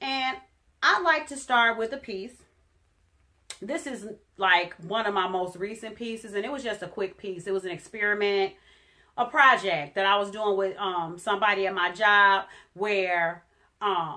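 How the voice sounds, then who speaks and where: A woman's medium-pitched voice, bright and sharp in tone, at a moderate pace with ordinary pitch variation and long, frequent pauses. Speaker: spoken word poet. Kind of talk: casual talk to camera.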